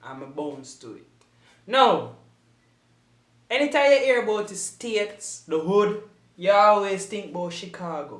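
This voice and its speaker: A man with a Jamaican accent, high pitch, lively intonation, big swings in loudness, a fairly slow pace and long, frequent pauses. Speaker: YouTube reactor. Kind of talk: casual reaction commentary.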